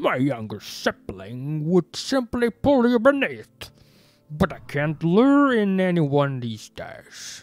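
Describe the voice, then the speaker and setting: In a put-on character voice at a middle pitch, the speaker goes very slowly with very wide pitch swings over faint background music. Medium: solo performance. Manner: seductive, ominous, slow.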